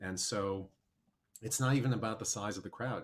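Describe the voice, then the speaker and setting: A man with an American accent talks at a fairly quick pace and medium pitch, a plain, everyday voice. His pitch variation is ordinary. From US Midwest, Milwaukee, Wisconsin. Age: 40s. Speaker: documentary filmmaker and musician. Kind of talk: casual chat.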